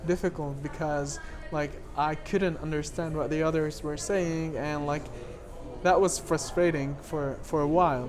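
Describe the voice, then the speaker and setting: Someone talks at a fairly slow pace in a French accent over noticeable background noise. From Lebanon. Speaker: documentary filmmaker. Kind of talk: interview. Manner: halting.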